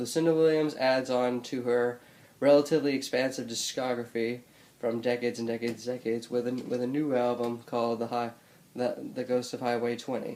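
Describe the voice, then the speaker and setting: This man's voice sits at medium pitch, flat and monotone. He talks at a fairly quick pace. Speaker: music reviewer. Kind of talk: unedited album review vlog. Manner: stuttering, many false starts; casual, hesitant with fillers.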